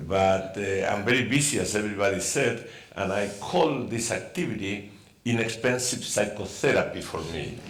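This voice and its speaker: Fairly low-pitched man at a moderate pace, ordinary pitch variation, noticeable background noise and audible room echo. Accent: Spanish. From Argentina. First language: Spanish. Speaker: scientist and novelist. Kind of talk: panel Q&A.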